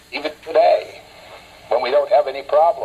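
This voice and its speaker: With an American accent, a man speaks at a moderate pace against noticeable background noise. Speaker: war veteran. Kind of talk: interview answer. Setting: phone line. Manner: spontaneous, hesitant, lecturing.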